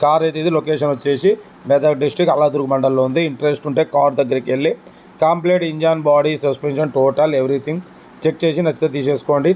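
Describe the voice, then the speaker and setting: Against noticeable background noise, a man speaks at a fairly high pitch. His intonation is monotone and flat, and his loudness very even. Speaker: used car seller / YouTuber. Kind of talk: sales pitch.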